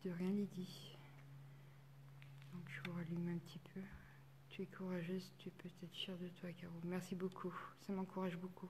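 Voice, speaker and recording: A woman talks at a moderate pace and fairly low pitch, in monotone, flat intonation with long, frequent pauses, over noticeable background noise and audible room echo. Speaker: paranormal investigator. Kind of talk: live stream investigation commentary. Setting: chapel, live stream. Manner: halting.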